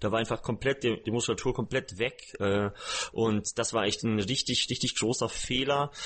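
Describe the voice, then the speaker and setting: At a moderate pace, a man speaks with a medium pitch. His intonation is fairly even and his loudness very even. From Lower Saxony, Germany. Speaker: musician and after-school teacher. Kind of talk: casual chat. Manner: halting.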